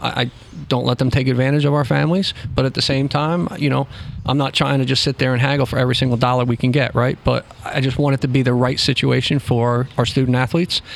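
Against noticeable background noise, a man talks at a very fast pace with medium pitch, fairly even intonation and very even loudness. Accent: American. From New Jersey, Trenton. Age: 50s. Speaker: youth soccer director, former college coach. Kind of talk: casual interview. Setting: restaurant.

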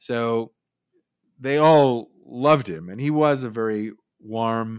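Here a man with a Californian accent speaks at a medium pitch with ordinary pitch variation. The recording is very clean, with a silent background. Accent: Californian American. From San Francisco Bay Area, California. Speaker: news copy editor and writer. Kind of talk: interview.

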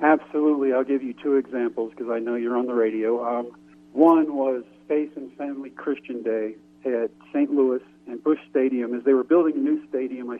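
Medium in pitch, a man speaks at a fairly quick pace in a plain, everyday voice. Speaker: former pro baseball pitcher. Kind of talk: radio interview.

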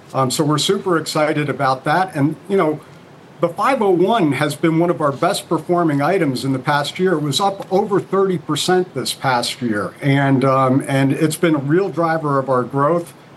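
A normal speaking voice from a man, fairly high in pitch with ordinary pitch variation, at a moderate pace and very even loudness. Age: 60s. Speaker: company CEO. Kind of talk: TV interview.

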